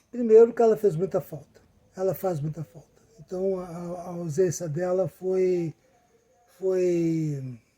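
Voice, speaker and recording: A man's high-pitched voice at a very slow pace, with big swings in loudness and ordinary pitch variation. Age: 70s. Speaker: cycling pilgrim. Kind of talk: casual talk to camera.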